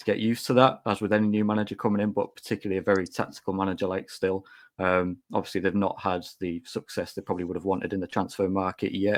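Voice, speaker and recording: A man with a Teesside accent races along at a very fast pace in a fairly low pitch with monotone, flat intonation. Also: hardly any pauses. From Teesside, northern England. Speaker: football podcast guest pundit. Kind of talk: casual chat.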